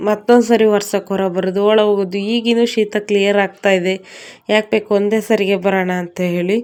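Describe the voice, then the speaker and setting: A soft-spoken woman at a medium pitch, with monotone, flat intonation, on a very clean recording with a silent background. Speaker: lifestyle vlogger, homemaker. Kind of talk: daily vlog narration. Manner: quiet, speaking softly while child sleeps.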